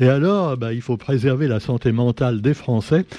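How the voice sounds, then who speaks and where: A man with a medium pitch talks fairly slowly in a dark, mellow tone. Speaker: radio press review columnist. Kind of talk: radio press review. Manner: hesitant with many fillers.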